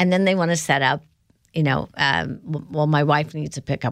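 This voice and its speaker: This woman's voice has a very deep, low pitch and ordinary pitch variation. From US Midwest (South Bend, Indiana). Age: 60s. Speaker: company founder and CEO. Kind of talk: interview.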